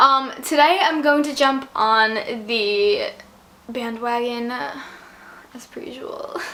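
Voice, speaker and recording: A fairly slow woman's voice, high in pitch with ordinary pitch variation, over noticeable background noise. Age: young. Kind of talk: casual talk to camera.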